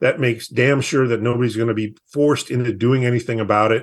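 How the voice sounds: Medium pitch from a man, fairly even intonation, and a fairly quick pace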